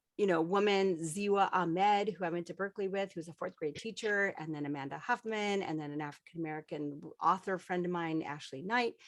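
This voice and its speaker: A woman at a moderate pace. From Colorado, US. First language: Spanish. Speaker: veteran aviator and children's book author. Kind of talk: panel discussion.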